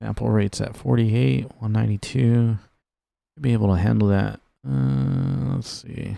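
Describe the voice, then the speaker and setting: This soft-spoken man has a dark, mellow tone and a fairly low pitch. He talks at a moderate pace with very wide pitch swings. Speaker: gaming streamer. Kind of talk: casual live stream chat.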